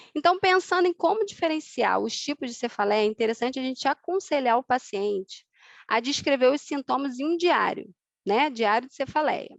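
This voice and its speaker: Against a quiet background, a woman with a high pitch speaks with lively intonation in a dry, close sound with no echo. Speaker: osteopathy lecturer. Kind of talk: online lecture. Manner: fast.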